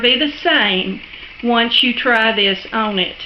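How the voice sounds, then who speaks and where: Over noticeable background noise, a woman with a strong Southern US accent speaks at a very slow pace in a high pitch. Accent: thick Southern US drawl. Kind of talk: casual cooking tutorial talk to camera. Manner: friendly, chatty.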